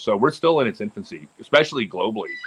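With an American accent, a man speaks at a very fast pace in a dry, close sound with no echo. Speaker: professional disc golfer. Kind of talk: casual chat.

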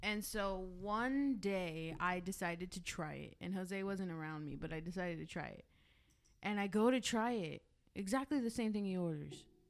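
A woman with an American accent talks at a medium pitch with ordinary pitch variation. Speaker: podcast co-host. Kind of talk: casual banter podcast, with an angry rant near 27:15.

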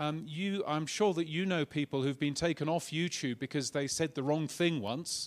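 In a British accent, a man talks at a moderate pace with hardly any pauses and a fairly high pitch. His pitch varies in an ordinary way, and the recording is very clean with a silent background. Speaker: podcast industry speaker. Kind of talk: conference keynote. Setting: stage with audience.

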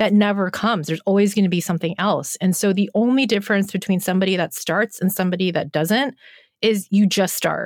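This woman talks at a very fast pace at a medium pitch, with ordinary pitch variation and very even loudness. The sound is dry and close, with no echo. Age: 40s. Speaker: animal photographer and creativity coach. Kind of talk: casual chat.

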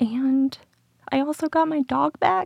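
Her pitch swinging very widely, a woman with an American accent is heard in a dry, close sound with no echo. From rural Michigan. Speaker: peer support worker sharing recovery story. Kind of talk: personal testimony interview.

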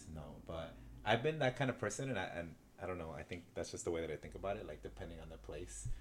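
A man talks at a very fast pace in a very deep, low pitch with vocal fry. His pitch swings very widely. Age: 20s. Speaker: podcast co-host. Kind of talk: casual chat. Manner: halting.

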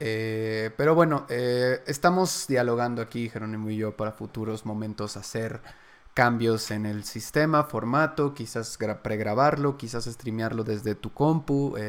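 A man talks with a Mexican accent at a medium pitch. His pitch varies in an ordinary way. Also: fairly slow pace. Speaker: podcast and stream host. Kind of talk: casual chat. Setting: live stream from a new set.

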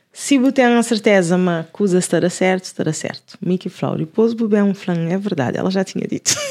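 Talking at a very fast pace, a woman leaves hardly any pauses. Her pitch is medium, with ordinary pitch variation. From Lisbon area, Cova da Moura / Alfragide. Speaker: music producer and singer. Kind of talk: casual chat.

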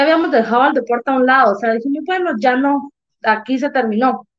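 Pitched high, a woman's voice shifts in pitch in an ordinary way. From Jalapa, Guatemala. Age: 20s. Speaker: Olympic weightlifter. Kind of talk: interview.

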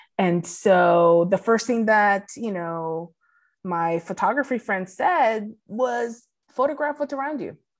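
Over a silent background in a very clean recording, a woman with a Spanish accent speaks very slowly at a fairly high pitch with lively intonation. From Puerto Rico. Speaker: documentary photographer. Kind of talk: interview.

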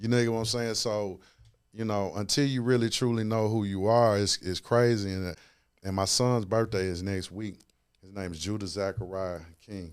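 A man at fairly low pitch and a moderate pace, fairly even intonation, big swings in loudness, on a very clean recording with a silent background. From US South, Memphis, Tennessee. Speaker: sports agent. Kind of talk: casual interview.

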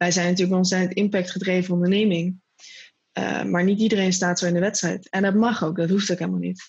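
Very fast, monotone and flat, with a somewhat breathy quality. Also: woman, medium pitch for a woman. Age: 20s. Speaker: social entrepreneur. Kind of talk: interview.

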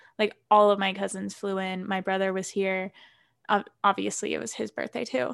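At a moderate pace, a woman with a plain, everyday voice keeps a fairly even intonation against a quiet background. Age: 20s. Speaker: podcast co-host, college student. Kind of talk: casual chat.

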